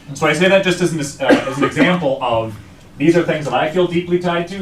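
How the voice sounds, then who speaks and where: A man with a strong Wisconsin accent speaks at a fairly quick pace, his pitch fairly high and his intonation lively, over noticeable background noise. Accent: thick Wisconsin. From northeastern Wisconsin (Algoma). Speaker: survey research director. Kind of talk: presentation to school board. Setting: school board meeting.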